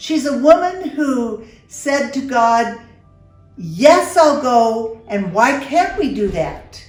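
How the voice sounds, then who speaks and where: Very slow speech over music in the background. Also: woman, high pitch for a woman. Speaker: show host. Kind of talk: interview conversation.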